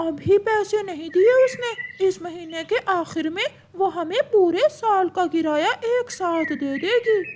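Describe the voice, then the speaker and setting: An extremely high-pitched cartoonish character voice speaks at a fairly slow pace. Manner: money-minded.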